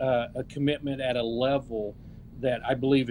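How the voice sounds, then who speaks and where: A man with an Oklahoma accent speaks at a medium pitch with fairly even intonation. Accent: Oklahoma American English. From Oklahoma, US (Okmulgee). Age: 60s. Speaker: political candidate. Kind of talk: interview. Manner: halting.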